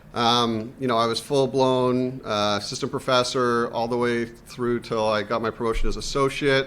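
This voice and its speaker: Over a very clean recording with a silent background, a man with a Canadian accent speaks at a moderate pace and medium pitch in monotone, flat intonation with hardly any pauses. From Canada. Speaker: university administrator, scientist. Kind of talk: career panel talk.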